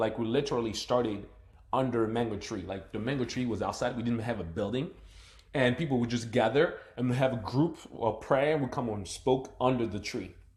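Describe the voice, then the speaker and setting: A man with a slight African accent, medium in pitch and somewhat breathy. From Democratic Republic of the Congo. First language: not English (multilingual). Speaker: motivational speaker. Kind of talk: live stream monologue. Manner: animated; halting.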